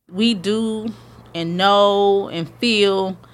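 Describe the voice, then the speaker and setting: This woman's voice sits at a medium pitch and carries ordinary pitch variation. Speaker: interviewee, creator of a hashtag movement. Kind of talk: interview.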